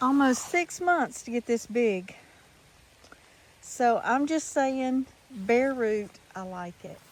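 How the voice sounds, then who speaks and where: Long, frequent pauses break up a woman's very slow speech, which is high-pitched with lively intonation. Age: 60s. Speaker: home gardener vlogger. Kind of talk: casual vlog walkthrough. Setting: outdoors in backyard.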